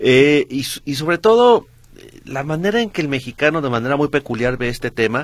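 A man talks at a moderate pace in an ordinary speaking voice, pitched fairly high. The recording is very clean, with a silent background. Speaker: substitute radio host. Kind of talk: radio talk show.

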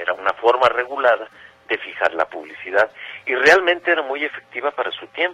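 The man's medium-pitched voice moves in very wide pitch swings. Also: fairly quick pace. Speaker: radio host. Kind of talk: radio nostalgia show.

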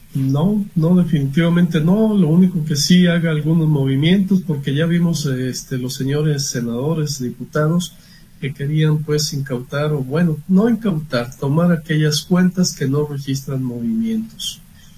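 The delivery is fairly slow with hardly any pauses and ordinary pitch variation. The tone is dark and mellow, somewhat breathy. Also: man, fairly high pitch for a man. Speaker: accountant. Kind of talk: expert advice on radio.

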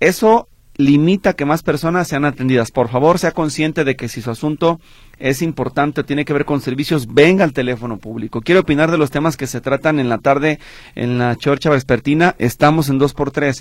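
A man's fairly high voice with ordinary pitch variation, in a dry, close sound with no echo. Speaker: radio host. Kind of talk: call-in radio show. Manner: fast.

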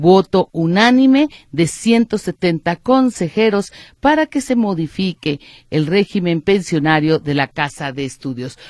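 Very slow, fairly low-pitched speech from a woman, with very wide pitch swings, on a very clean recording with a silent background and a dry, close sound with no echo. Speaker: radio host. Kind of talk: radio news talk show.

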